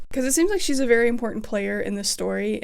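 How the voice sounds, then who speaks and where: Over music in the background, a woman with an American accent speaks amid audible room echo. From Appalachia, US. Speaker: music theory YouTuber. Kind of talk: casual video essay.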